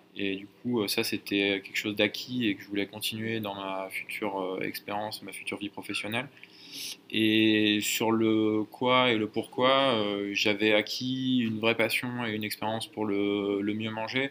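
Fairly slow, monotone, flat speech from a man with a fairly low pitch. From Burgundy, France. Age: 20s. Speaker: startup founder. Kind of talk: interview. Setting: company office. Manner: hesitant with fillers.

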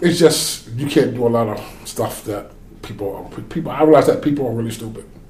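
A man's medium-pitched voice with an eastern North Carolina accent, a fairly quick pace, ordinary pitch variation and big swings in loudness. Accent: Southern US (eastern North Carolina). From US South, North Carolina. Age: 40s. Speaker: oil rig worker. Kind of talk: casual chat. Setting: studio. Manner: animated.

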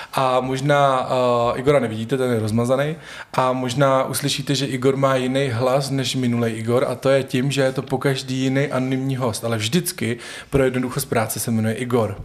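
The pace is fairly quick. A man delivers it all with monotone, flat intonation. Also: medium pitch for a man. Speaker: podcast host. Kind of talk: casual interview conversation. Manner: stumbling, filler-heavy.

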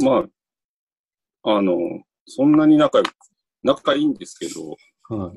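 With lively intonation and long, frequent pauses, a man speaks at a fairly high pitch in a dry, close sound with no echo. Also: moderate pace, big swings in loudness. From Chiba, Japan (Sakura, suburb near Tokyo). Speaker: theatre company director. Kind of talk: casual chat. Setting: video call.

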